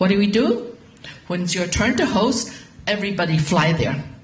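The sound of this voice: Audible room echo surrounds a woman of medium pitch who speaks with lively intonation. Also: moderate pace.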